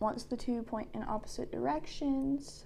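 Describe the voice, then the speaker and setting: Her dark, mellow tone carries at a fairly slow pace as the woman speaks. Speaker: gamer. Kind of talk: casual gameplay tips talk. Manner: hesitant, many filler words and stutters.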